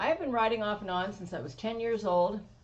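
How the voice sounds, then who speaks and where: Amid audible room echo, a woman with an American accent speaks at a moderate pace with lively intonation. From Washington State. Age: 60s. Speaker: motorcycle rider. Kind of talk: interview.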